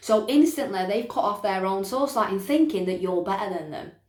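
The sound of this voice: The voice has a slightly mellow tone and lively intonation at a fairly quick pace. An audible room echo surrounds it. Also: woman, medium pitch for a woman.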